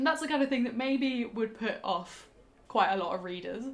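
Talking at a fairly quick pace, a woman swings her pitch very widely. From southwest England, Bath; southwest England. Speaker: book reviewer. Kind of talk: book review monologue. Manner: casual, with frequent fillers. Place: home room.

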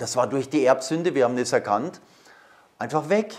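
The pitch of this man's voice varies in an ordinary way. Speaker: priest giving a talk. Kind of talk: lecture. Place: hall.

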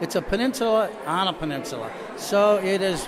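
A man talks at a high pitch, with noticeable background noise around him. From US Northeast, Rochester, New York. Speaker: painter and photographer. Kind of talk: interview at gallery opening. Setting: art gallery opening. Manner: halting, many fillers. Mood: thoughtful, earnest. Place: hall. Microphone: handheld.

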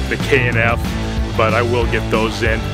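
A man speaking at a fairly slow pace, dry sound with no echo, clear music playing behind him. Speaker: video creator. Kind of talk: casual vlog chat. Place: open country. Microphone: phone near.

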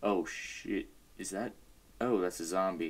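A man's very deep, low voice at a fairly slow pace. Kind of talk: gameplay commentary.

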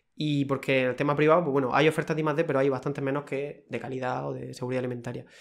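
At a very fast pace with hardly any pauses, a man speaks in a fairly high pitch and a monotone, flat intonation. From Cartagena, Murcia, Spain; Murcia, Spain. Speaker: food quality technician; guest. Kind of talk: casual interview. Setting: studio, in person. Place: office. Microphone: studio mic.

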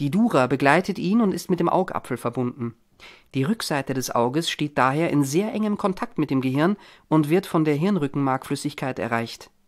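The tone is dramatic and calm at a moderate pace, on a very clean recording with a silent background. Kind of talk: audiobook narration, reading a short story aloud with dialogue.

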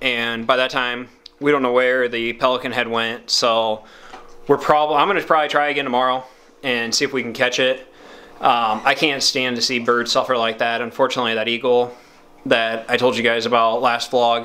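Intonation stays monotone and flat as a man talks at a fairly quick pace. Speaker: outdoors vlogger. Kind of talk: casual vlog chat. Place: home room. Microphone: phone near.

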